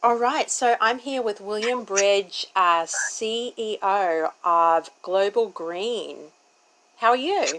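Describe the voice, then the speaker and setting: In an Australian accent, a woman with a fairly high pitch speaks at a very slow pace. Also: lively intonation. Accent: thick Australian. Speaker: interviewer. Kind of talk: interview.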